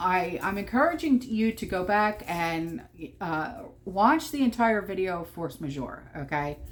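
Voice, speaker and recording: A woman with a New Jersey accent speaks at a fairly slow pace. Her pitch sits at a medium level with very wide swings. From New Jersey, Atlantic City. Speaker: prepper vlogger. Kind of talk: casual vlog monologue. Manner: animated, emphatic; repeated okay fillers, stammering.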